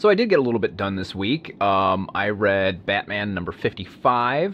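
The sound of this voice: At a moderate pace, a man speaks at a fairly low pitch with big pitch swings and a fairly bright tone.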